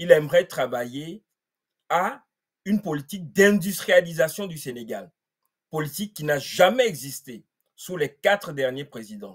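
This man has a fairly high pitch and lively intonation. He speaks at a fairly slow pace against a quiet background. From Togo. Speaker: political activist; guest commentator. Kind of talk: panel discussion. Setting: video call. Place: home room.

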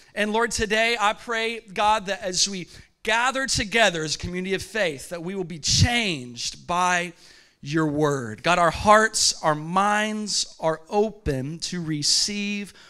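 Over a quiet background, a man speaks in a raised, projected voice at a very slow pace. His tone is bright and sharp, with ordinary pitch variation. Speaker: pastor. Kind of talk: sermon. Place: church. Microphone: handheld.

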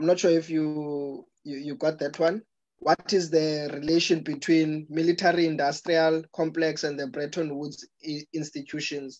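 Monotone and flat, a man's fairly high-pitched voice moves at a moderate pace. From South Africa. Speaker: Q&A moderator. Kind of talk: reading audience questions. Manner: halting. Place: home room. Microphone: video call.

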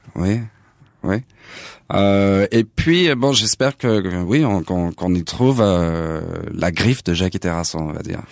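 A man with a fairly low voice speaks at a fairly slow pace with lively intonation and long, frequent pauses, recorded dry and close with no echo on a very clean track with a silent background. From Paris suburbs, France. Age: 40s. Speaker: jazz pianist. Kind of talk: interview. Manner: halting, repeats words.

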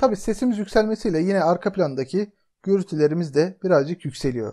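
Against a quiet backdrop, the words come at a moderate pace. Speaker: software tutorial narrator. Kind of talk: tutorial.

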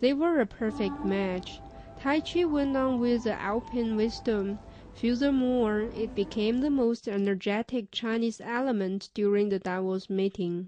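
With music in the background, a woman speaks at a fairly slow pace and a fairly high pitch. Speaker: news reporter. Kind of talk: scripted narration.

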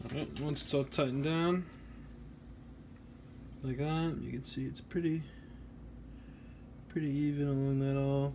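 At a moderate pace, a man with a fairly high pitch speaks in a somewhat breathy, dark, mellow and relaxed tone, his intonation monotone and flat, with long, frequent pauses. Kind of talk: DIY electronics tutorial narration. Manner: casual, relaxed.

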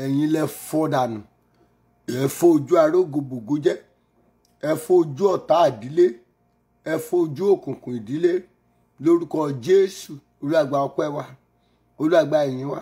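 Over music in the background, a man with a southwestern Nigerian accent speaks at a moderate pace with ordinary pitch variation and long, frequent pauses. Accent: Yoruba-accented. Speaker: pastor. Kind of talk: fervent prayer. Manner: loud, pleading and commanding. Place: home room. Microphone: phone near.

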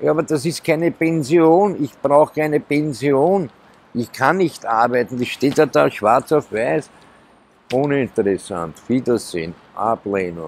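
In a dry sound with no echo, a man speaks at a fairly slow pace, his medium pitch making very wide swings. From Austria, Vienna. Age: 50s. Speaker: homeless man; interviewee. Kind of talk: life story interview. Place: street.

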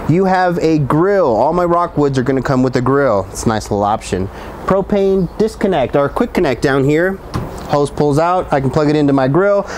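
A man's speech comes at a moderate pace with light background noise behind it. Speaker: RV salesman. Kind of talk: product walkthrough tour. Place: street. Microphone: lapel.

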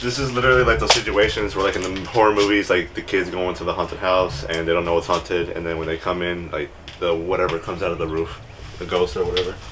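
A man's very deep, low voice at a very fast pace, with ordinary pitch variation and noticeable background noise. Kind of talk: casual vlog chat. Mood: excited, slightly spooked. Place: empty room. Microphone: phone near.

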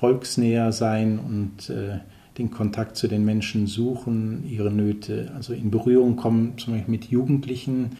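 Somewhat breathy and dark, mellow in tone, a man speaks at a fairly slow pace with fairly even intonation. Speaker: missionary priest. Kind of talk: interview answer. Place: office.

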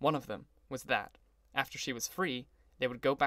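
This is plain reading aloud, nothing more.

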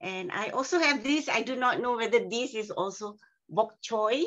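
Over a quiet background, a woman with a plain, everyday voice speaks at a fairly high pitch with ordinary pitch variation and a moderate pace. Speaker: workshop participant. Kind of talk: casual chat. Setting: video call. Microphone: video call.

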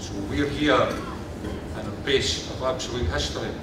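Amid loud background noise and audible room echo, a man speaks at a fairly slow pace. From Scotland, Kirkcaldy, Fife. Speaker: local councillor. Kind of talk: ceremonial speech. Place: hall. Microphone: podium.

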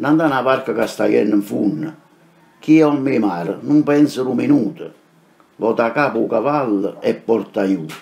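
A man with a Neapolitan accent speaks at a medium pitch and a moderate pace. His intonation is lively. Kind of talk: poetry reading.

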